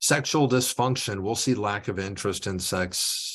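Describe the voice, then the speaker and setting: A man is speaking. His pace is moderate. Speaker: pharmacist presenter. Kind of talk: webinar presentation.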